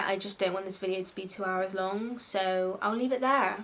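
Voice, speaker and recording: Talking at a fairly quick pace with ordinary pitch variation, a woman has a strong Bristol accent. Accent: Bristolian, strong. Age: 20s. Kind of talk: casual advice vlog. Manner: animated.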